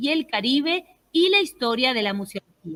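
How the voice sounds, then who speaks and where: This is a woman speaking. Her pitch is high. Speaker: conference moderator, association president. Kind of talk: moderated conference introduction. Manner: hesitant, many fillers.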